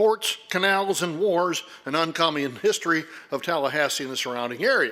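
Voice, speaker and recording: A man talks loudly at a moderate pace. His tone is bright and sharp, with ordinary pitch variation. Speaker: historian and lecturer. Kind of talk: lecture. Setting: stage with audience, lights.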